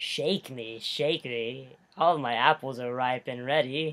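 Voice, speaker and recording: In a put-on character voice, this man's speech moves fairly slowly at a medium pitch. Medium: read story.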